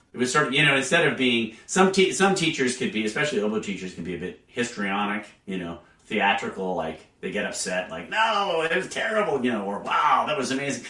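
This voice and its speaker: The pace is fairly quick, with hardly any pauses and very wide pitch swings. Noticeable background noise and audible room echo surround the voice. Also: man, medium pitch for a man. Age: 60s. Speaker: orchestral English horn player. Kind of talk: interview. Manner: hesitant, many fillers.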